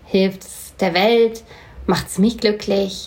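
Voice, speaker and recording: A woman speaks very slowly at a medium pitch. Noticeable background noise runs under her voice. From Hanau, Hesse, Germany. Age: 40s. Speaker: slam poet and storyteller. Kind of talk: casual interview chat. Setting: sitting together over coffee.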